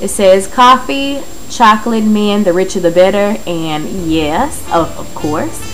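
Faint music plays in the background as a woman speaks at a very slow pace with ordinary pitch variation. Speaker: home vlogger. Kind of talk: casual vlog chat. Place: kitchen. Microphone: phone near.

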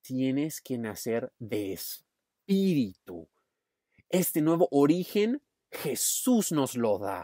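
Very slow speech in an Australian accent, on a very clean recording with a silent background. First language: English (speaking Spanish). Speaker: youth pastor. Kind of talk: sermon.

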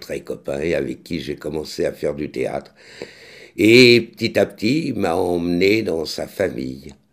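Against a quiet background, a man speaks very slowly with vocal fry and very wide pitch swings. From France. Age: 60s. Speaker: actor and vlogger; author-actor chronicler. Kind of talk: vlog commentary; casual vlog chat. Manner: halting, many hesitations. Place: kitchen. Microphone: studio mic.

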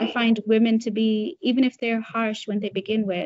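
Against a quiet background, a woman talks at a moderate pace in a fairly high, somewhat breathy voice. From Tanzania. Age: 20s. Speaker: activist, nonprofit founder; interviewee. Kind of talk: interview. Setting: video call. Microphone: video call.

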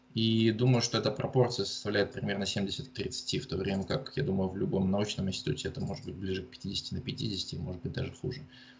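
Somewhat breathy and fairly low in pitch, a man talks at a fairly quick pace with ordinary pitch variation and hardly any pauses. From Russia, Murmansk region. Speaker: geologist and university lecturer. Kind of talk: interview. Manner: halting, many fillers.

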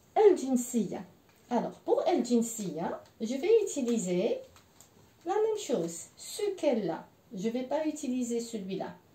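Her high-pitched voice swings very widely in pitch, broken by long, frequent pauses, and the woman's speech carries audible room echo. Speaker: French language teacher. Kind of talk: language lesson. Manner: slow, repeating words for learners. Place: home room. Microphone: camera far.

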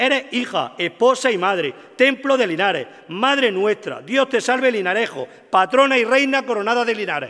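Against a quiet background, a man with an extremely high pitch uses a raised, projected voice, ordinary pitch variation and a moderate pace. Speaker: presenter introducing the orator, brotherhood member. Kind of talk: formal introduction, devotional and poetic. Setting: stage with audience. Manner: solemn, emotional, rhetorical. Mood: solemn, devotional, emotive. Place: stage. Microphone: podium.

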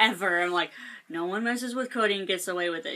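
Over noticeable background noise, a woman talks very fast. Her intonation is lively. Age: 20s. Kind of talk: casual talk to camera. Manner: hesitant, flustered, many fillers.

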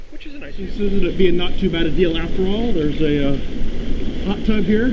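Noticeable background noise accompanies this man, whose pitch variation is ordinary. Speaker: vlogger. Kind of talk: casual vlog chat. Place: waterside. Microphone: phone near.

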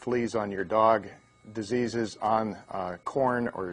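A man speaks here. His pitch varies an ordinary amount. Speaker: presenter. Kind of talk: lecture. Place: studio. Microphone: lapel.

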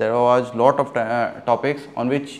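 A man speaks at a fairly slow pace. His intonation stays monotone and flat. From India. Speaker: SSB interview coach. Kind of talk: instructional briefing and feedback. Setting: classroom. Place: classroom. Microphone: lapel.

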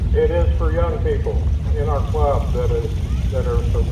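A man talks at a fairly slow pace with noticeable background noise behind him. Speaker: event announcer. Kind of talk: public announcement and interview. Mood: friendly, casual. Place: open country.

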